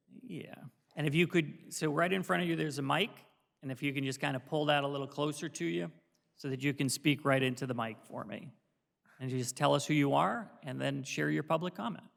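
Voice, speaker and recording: Speaking at a fairly quick pace, a man has a fairly high pitch, vocal fry and ordinary pitch variation. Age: 50s. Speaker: board chairman. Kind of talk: public meeting chairing. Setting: township board meeting.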